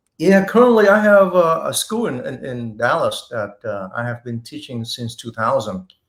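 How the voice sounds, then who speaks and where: Speaking at a moderate pace with a Vietnamese accent, a man uses a fairly high pitch, very wide pitch swings and big swings in loudness. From Vietnam (Saigon), moved to Texas as teen. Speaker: martial arts instructor and actor. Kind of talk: interview. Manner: halting.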